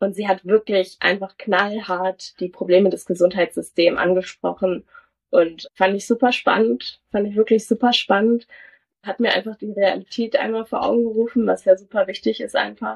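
This woman has a plain, everyday voice pitched in the middle range. She moves along at a moderate speed with fairly even intonation. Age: young. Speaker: medical student. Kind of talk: casual interview.

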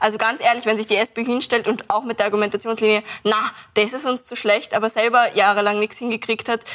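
Noticeable background noise behind a woman's fairly high voice, fairly quick in pace with fairly even intonation. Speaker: climate activist. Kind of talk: panel discussion.

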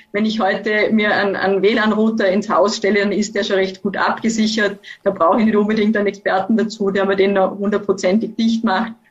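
A fairly quick, monotone delivery with flat intonation, very even loudness and hardly any pauses. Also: woman, medium pitch for a woman. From Austria, Vorarlberg. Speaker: university professor, network expert. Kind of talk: expert interview. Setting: video call.

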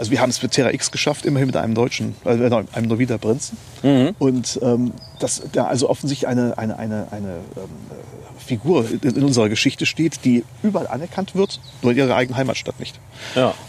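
Amid noticeable background noise, a man of medium pitch speaks at a very fast pace with ordinary pitch variation. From Germany, Neuwied (Rhineland). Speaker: lawyer. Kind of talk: interview. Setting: outdoors in a park.

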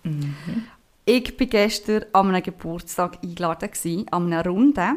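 A woman's plain, everyday voice at medium pitch, with ordinary pitch variation. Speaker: podcast host. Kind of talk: casual chat.

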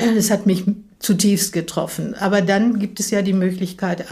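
Speaking at a very slow pace, a woman keeps a monotone, flat intonation in a somewhat breathy voice. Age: 80s+. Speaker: interviewee with macular degeneration. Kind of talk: interview. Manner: hesitant, many fillers.

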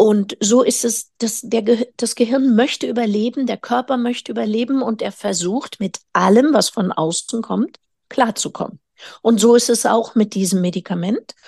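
Somewhat breathy and dark, mellow in tone, a woman speaks at a moderate pace with a fairly high pitch and ordinary pitch variation, in a dry, close sound with no echo. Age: 50s. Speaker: physician specializing in nutritional medicine. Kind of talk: interview.

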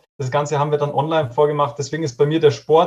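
A man talks in a somewhat breathy, fairly high voice. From Bavaria, Regensburg. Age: 30s. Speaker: nutrition and fitness coach. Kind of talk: interview.

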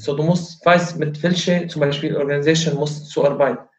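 A man speaks with an Arabic accent at a fairly slow pace. His pitch is fairly high, and his intonation fairly even. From Syria. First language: Arabic (speaking German). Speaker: kickboxing coach. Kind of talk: interview. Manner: halting.

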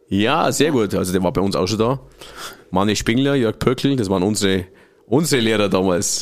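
A man speaks in a normal speaking voice at a moderate pace, his fairly low pitch carrying ordinary variation and his loudness staying very even. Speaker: podcast host. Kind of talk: casual interview. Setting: studio.

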